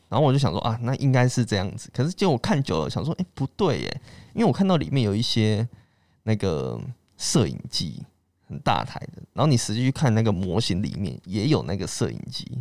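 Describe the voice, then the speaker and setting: At a fairly quick pace, a man of medium pitch swings very widely in pitch with vocal fry, recorded very cleanly against a silent background. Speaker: podcast host. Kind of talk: casual chat.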